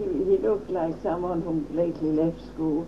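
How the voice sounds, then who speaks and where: At a moderate pace, a woman speaks in a fairly low pitch with noticeable background noise behind her. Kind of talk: interview answer.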